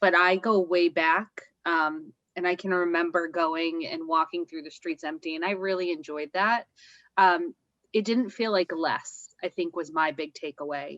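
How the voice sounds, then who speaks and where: The woman has a plain, everyday voice, fairly low in pitch with fairly even intonation. The sound is dry and close with no echo. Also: moderate pace. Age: 30s. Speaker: travel agent. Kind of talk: casual chat.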